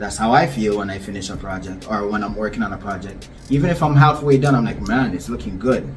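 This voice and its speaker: Talking at a very fast pace with hardly any pauses, a man with a fairly low pitch and lively intonation is heard over noticeable background noise and audible room echo. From Ghana (West Africa). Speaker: visual artist. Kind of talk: casual vlog talk to camera.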